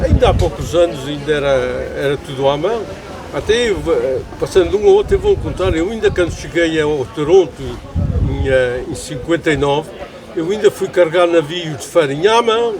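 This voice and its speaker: A man talks at a moderate pace. Background noise is noticeable, and room echo can be heard. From Azores, Pico island. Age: 80s+. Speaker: elderly islander telling life stories. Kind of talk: interview. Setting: outdoors at a family pig slaughter.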